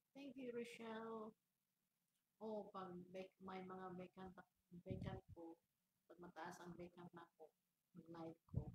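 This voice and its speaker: Soft-spoken and somewhat breathy, the speaker goes at a very slow pace with long, frequent pauses, big swings in loudness and ordinary pitch variation. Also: woman, medium pitch for a woman. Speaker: livestreamer. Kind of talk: casual livestream chat. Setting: office. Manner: soft-spoken, deliberately quiet; halting, repetitive.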